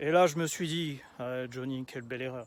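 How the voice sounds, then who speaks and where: A man speaks with a Toulouse accent. His pace is fairly slow. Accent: southern French (Toulouse). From southern France, Toulouse area. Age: 30s. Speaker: aspiring public speaker. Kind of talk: storytelling video pitch. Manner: casual, many filler hesitations.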